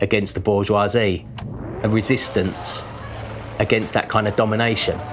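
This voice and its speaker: With music in the background, a man speaks at a fairly quick pace in a fairly low pitch with fairly even intonation. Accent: London. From London (Deptford). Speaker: artist. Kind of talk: documentary interview. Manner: hesitant, filler-heavy.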